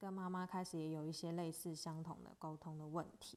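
Speaking with a Taiwanese accent, a woman keeps a moderate pace and fairly even intonation. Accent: Taiwanese Mandarin. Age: 20s. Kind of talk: solo podcast monologue. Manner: casual.

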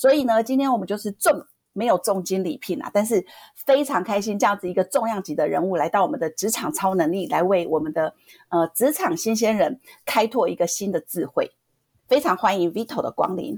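A woman with an ordinary speaking voice talks at a fairly quick pace and medium pitch, with lively intonation. The sound is dry and close, with no echo. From southern Taiwan. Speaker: podcast co-host. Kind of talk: interview. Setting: online remote recording.

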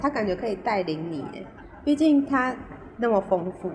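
Through noticeable background noise, a woman's voice moves in very wide pitch swings. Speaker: podcast co-host. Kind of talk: casual chat. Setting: remote recording. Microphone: poor remote audio quality.

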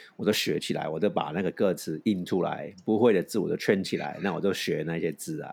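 This man's voice sits fairly low and has ordinary pitch variation. He moves at a fairly quick pace with hardly any pauses. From Hong Kong, raised in San Francisco. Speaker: podcast co-host. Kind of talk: casual chat. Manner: halting.

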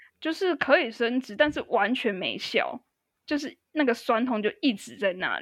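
A woman in a Taiwanese accent, high-pitched and lively in intonation, at a moderate pace with big swings in loudness, dry and close with no echo. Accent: Taiwanese Mandarin. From Taiwan (Tainan). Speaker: podcast guest, musician. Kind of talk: casual chat.

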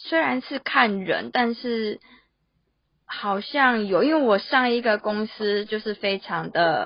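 A woman's fairly high-pitched voice, a plain, everyday voice, with ordinary pitch variation. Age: 20s. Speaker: office worker and illustrator. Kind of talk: casual interview.

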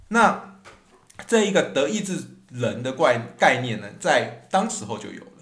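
In a room with audible echo, a man speaks at a fairly slow pace and a fairly high pitch. His pitch swings very widely and his loudness rises and falls a lot. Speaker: podcast host, history and music storyteller. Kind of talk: educational podcast talk.

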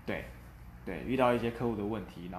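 Amid audible room echo, a man speaks at a very fast pace with vocal fry. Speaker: quality assurance engineer. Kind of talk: interview. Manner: hesitant with fillers.

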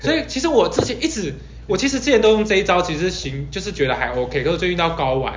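A man speaks at a very fast pace, with audible room echo and noticeable background noise. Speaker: podcast host. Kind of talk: casual chat.

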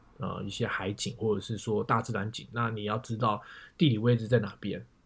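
A man speaks fairly quickly in a medium pitch with vocal fry. The recording is very clean, with a silent background. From Taiwan, Taipei. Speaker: photographer with side business. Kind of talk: casual interview.

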